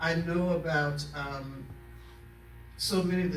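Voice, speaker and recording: There is noticeable background noise and audible room echo as a man speaks with ordinary pitch variation. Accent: American. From US South (Florida, Raleigh, North Carolina). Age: 80s+. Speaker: retired clinician, psychotherapist. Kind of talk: audience comment at a discussion event. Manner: halting, with fillers.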